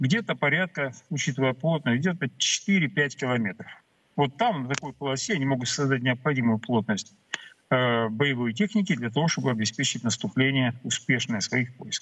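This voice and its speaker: An ordinary speaking voice from a man, medium in pitch, moderate in pace, with ordinary pitch variation. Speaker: military expert. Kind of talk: live interview on TV. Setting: remote video link. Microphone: connection problems.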